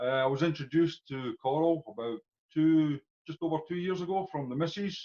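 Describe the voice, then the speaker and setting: With a Scottish accent and ordinary pitch variation, a man speaks in a dry, close sound with no echo. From Scotland. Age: 40s. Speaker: customer giving testimonial. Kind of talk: testimony. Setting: video call.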